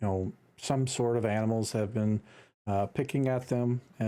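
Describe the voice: What you hear is plain reading aloud.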